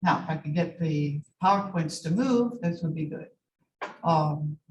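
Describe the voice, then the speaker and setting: A woman speaks at a fairly slow pace in a fairly low, somewhat breathy voice. Her pitch varies in an ordinary way. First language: not English. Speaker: medical laboratory scientist and lecturer. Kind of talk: lecture.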